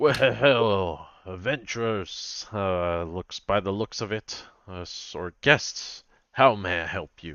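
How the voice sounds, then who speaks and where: A man puts on a character voice, pitched fairly low and spoken very slowly. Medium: actual play.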